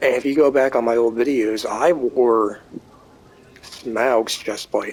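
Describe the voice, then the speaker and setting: Over noticeable background noise, a man speaks very slowly at a medium pitch with fairly even intonation. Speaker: gaming youtuber. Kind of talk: gameplay commentary. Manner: casual.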